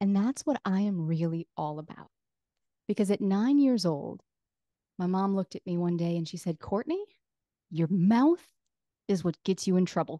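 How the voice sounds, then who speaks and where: A woman with a dark, mellow tone talks at medium pitch and a moderate pace, her intonation lively, with long, frequent pauses. The sound is dry and close with no echo against a quiet background. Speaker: business founder, podcast coach. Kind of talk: podcast interview.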